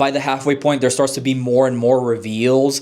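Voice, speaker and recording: With a Spanish accent, the intonation stays fairly even. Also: man. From Honduras. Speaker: book reviewer. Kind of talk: casual book review vlog. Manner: hesitant, many fillers and restarts.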